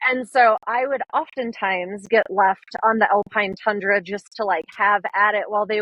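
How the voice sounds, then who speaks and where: A woman speaks in an animated tone. She keeps a moderate pace with hardly any pauses. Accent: Minnesotan. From northern Minnesota. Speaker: conservation photographer. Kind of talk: podcast interview.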